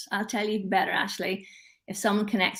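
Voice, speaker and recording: A somewhat breathy woman's voice at medium pitch, with an Irish accent. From Northern Ireland. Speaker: LinkedIn expert. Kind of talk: casual chat. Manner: animated.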